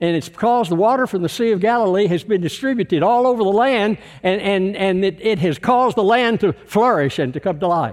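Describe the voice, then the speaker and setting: With a Texan accent, a man talks at a high pitch and a fairly quick pace with ordinary pitch variation over a quiet background. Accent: Texan Southern US. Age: 80s+. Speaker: visiting preacher. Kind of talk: sermon. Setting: church.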